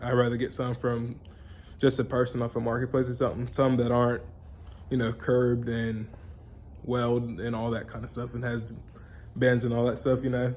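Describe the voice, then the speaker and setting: A man's shaky, medium-pitched, monotone voice at a fairly quick pace, flat in intonation, with long, frequent pauses. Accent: Alabama. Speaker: vlogger, truck enthusiast. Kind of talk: casual vlog update. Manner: halting, filler-heavy; shaky voice.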